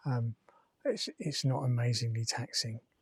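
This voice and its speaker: A man mumbles quietly at a medium pitch, somewhat breathy, with fairly even intonation. The sound is dry and close with no echo. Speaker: travel vlogger. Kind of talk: casual vlog monologue. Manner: mumbling.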